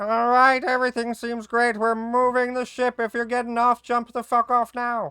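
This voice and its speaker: Someone shouts in a put-on character voice at a fairly high pitch, with monotone, flat intonation. The moderate pace leaves hardly any pauses. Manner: shouting, curt.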